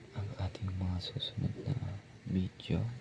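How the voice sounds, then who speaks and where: A soft-spoken voice goes at a very slow pace over noticeable background noise. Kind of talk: ASMR soft-spoken talk.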